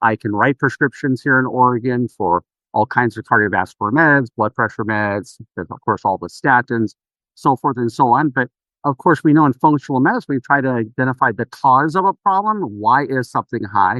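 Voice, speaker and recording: Lively intonation runs through a normal speaking voice. The pace is fairly quick. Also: man, medium pitch for a man. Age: 60s. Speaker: naturopathic physician. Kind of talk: podcast interview.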